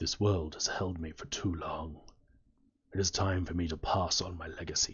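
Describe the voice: A man's raspy, put-on character voice, very deep and low in a flat monotone, at a moderate pace.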